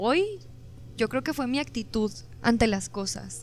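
With music in the background, a woman speaks at a fairly slow pace. Her pitch is high and her intonation lively. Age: 20s. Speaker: singer-songwriter. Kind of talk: casual interview chat.

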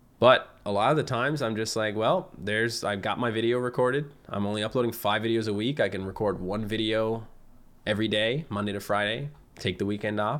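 A man with a Newfoundland accent at a fairly quick pace and a medium pitch. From Newfoundland, Canada (Fogo Island). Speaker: gaming YouTuber. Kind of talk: casual chat. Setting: video call.

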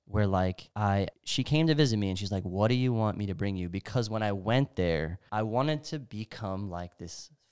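Fairly quick and fairly low in pitch, a man talks in an unremarkable speaking voice with ordinary pitch variation. The recording is very clean and the background silent. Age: 30s. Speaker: warehouse worker, podcast guest. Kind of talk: casual chat.

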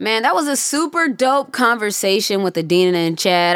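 A woman is speaking. Her pitch swings very widely. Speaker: podcast host. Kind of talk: casual chat.

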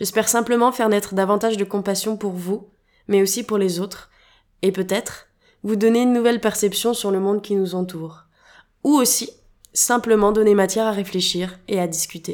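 At a moderate pace and medium pitch, a woman speaks with fairly even intonation and long, frequent pauses in a very clean recording with a silent background. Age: 20s. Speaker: podcast host. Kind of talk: podcast monologue.

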